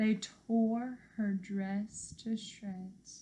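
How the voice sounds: A woman speaks at a very slow pace in a medium pitch, her intonation fairly even and her tone dark and mellow.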